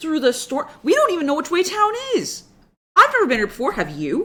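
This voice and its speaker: A put-on character voice runs at a fairly quick pace in a high pitch. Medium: actual play. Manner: dry, exasperated.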